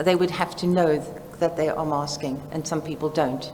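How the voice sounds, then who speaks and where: Fairly quick and monotone, a woman speaks with a South African accent in a very deep, low pitch, with audible room echo and noticeable background noise. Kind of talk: conference presentation. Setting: seminar with live audience.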